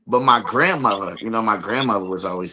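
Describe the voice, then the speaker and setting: Through noticeable background noise, a man with an American accent talks very fast at a fairly low pitch with ordinary pitch variation. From New Jersey (East Orange). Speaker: podcast guest. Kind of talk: casual chat. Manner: casual, some hesitations.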